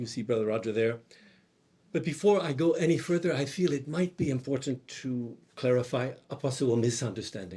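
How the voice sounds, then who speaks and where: A man with a medium pitch, a dark, mellow tone, a somewhat breathy quality, lively intonation and a fairly quick pace. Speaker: monk and theology teacher. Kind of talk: conference talk. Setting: conference hall with audience. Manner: soft-spoken.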